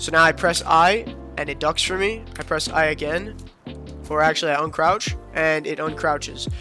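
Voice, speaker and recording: A man's fairly high-pitched voice with an upbeat tone at a fairly slow pace, with music in the background. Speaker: gaming content creator. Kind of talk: gaming tutorial talk. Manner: casual, upbeat.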